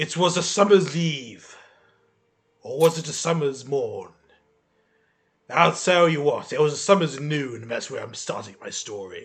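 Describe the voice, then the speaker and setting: A raspy, put-on character voice from a man, fairly high-pitched and dramatic in tone, at a moderate pace with long, frequent pauses. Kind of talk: bellowing tavern storyteller. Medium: actual play. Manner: gruff, dramatic.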